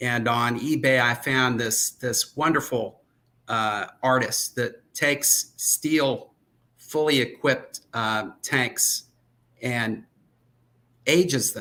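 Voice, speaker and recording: Talking at a very slow pace, a man uses a bright, sharp tone at medium pitch with fairly even intonation. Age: 60s. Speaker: aerial photographer. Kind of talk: casual chat. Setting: live stream.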